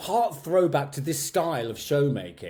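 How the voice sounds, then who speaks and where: The voice has a dark, mellow, somewhat breathy tone and lively intonation. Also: man. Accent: southern English. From Medway, Kent, England. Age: 50s. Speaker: drag and cabaret performer. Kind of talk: interview answer.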